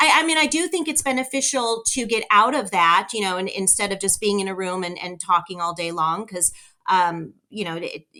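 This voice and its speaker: The tone is energetic, bright and sharp, in a Californian accent with lively intonation. The pace is moderate. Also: woman, medium pitch for a woman. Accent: Californian American. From Southern California. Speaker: real estate broker and owner. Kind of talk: interview conversation.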